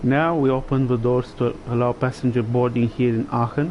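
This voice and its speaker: With a Romanian accent, a man is speaking. His pace is fairly slow. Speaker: gaming livestreamer. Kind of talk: gameplay commentary.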